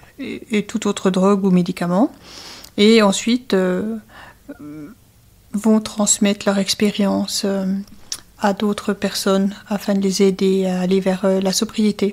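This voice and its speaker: The speech comes at a very slow pace in a flat monotone, broken by long, frequent pauses. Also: woman, medium pitch for a woman. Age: 60s. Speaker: addiction counselor. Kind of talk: interview.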